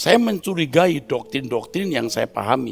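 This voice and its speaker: Using very wide pitch swings and vocal fry, a man talks at a moderate pace. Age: 60s. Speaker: preacher. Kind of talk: sermon.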